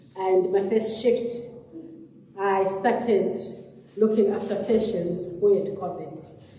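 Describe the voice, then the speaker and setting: The intonation stays fairly even. There is audible room echo and noticeable background noise. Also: woman. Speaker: theatre nurse. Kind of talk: health talk to congregation. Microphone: speaking without a microphone.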